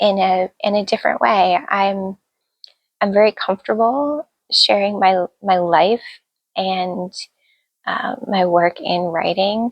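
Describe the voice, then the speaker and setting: Soft-spoken and medium-pitched, a woman speaks at a very slow pace with ordinary pitch variation and long, frequent pauses. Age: 40s. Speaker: author and YouTuber. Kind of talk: casual vlog introduction. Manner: halting, many fillers and repeats. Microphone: phone recording with external mic.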